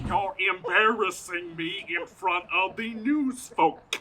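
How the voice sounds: In a put-on character voice, a man talks at a slow pace and high pitch, with a bright, sharp tone and ordinary pitch variation.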